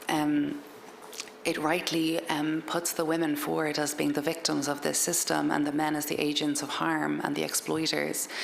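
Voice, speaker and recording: A woman speaks with an Irish accent at a moderate pace. There is audible room echo and noticeable background noise. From Ireland. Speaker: author. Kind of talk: talk to an audience. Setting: library event with audience.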